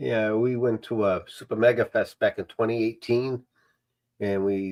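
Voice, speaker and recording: This voice has a Boston accent and a moderate pace. Pitch variation is ordinary. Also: man. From Massachusetts South Shore, near Brockton. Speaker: streamer. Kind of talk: casual chat.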